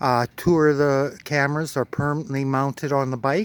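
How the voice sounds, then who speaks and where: A man with a western Canadian accent speaks in a fairly high pitch. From Alberta, Canada. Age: 60s. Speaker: motorcycle vlogger. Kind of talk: casual vlog monologue. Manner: relaxed, many fillers (uh, um).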